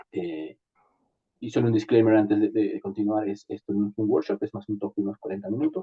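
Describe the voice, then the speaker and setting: His pitch is fairly low. The man keeps a fairly even intonation. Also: fairly quick pace. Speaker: entrepreneur and startup speaker. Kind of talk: online talk. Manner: fast.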